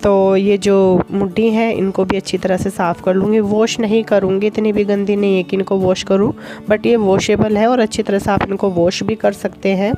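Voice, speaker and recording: A medium-pitched woman at a moderate pace, with monotone, flat intonation and very even loudness, over noticeable background noise. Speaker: vlogger. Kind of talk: casual vlog narration.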